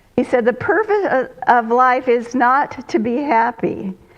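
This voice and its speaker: A woman's high, lively voice at a fairly slow pace, with noticeable background noise. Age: 80s+. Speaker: retired minister. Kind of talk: sermon. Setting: church with congregation, streamed online.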